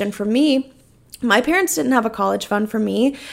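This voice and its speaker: An unremarkable speaking voice from a woman, fairly high in pitch and fairly quick in pace, in a very clean recording with a silent background. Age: 20s. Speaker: podcast host and online business coach. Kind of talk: solo podcast monologue. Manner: casual, laughs often.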